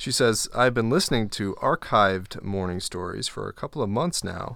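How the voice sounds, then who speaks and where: A man speaks in an ordinary speaking voice, fairly low in pitch with ordinary pitch variation. The pace is moderate, on a very clean recording with a silent background. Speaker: co-host sidekick. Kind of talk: casual banter and reading listener mail. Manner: playful, teasing.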